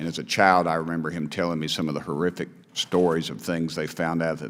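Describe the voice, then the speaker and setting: A man's very deep, low voice at a fairly quick pace with fairly even intonation. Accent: East Tennessee. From East Tennessee. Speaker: congressman. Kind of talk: committee hearing questioning. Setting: congressional hearing room. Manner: halting.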